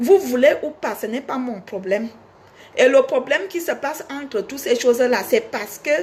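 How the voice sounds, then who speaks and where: A woman with a Cameroonian accent speaks at a moderate pace and high pitch, in an animated tone with lively intonation. Her loudness swings widely over noticeable background noise. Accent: Cameroonian village accent, kept. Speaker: singer and online personality. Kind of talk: casual monologue to fans.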